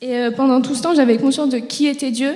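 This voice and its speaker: A woman's voice over noticeable background noise. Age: 20s. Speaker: church member giving testimony. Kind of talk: testimony. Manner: hesitant, frequent filler sounds.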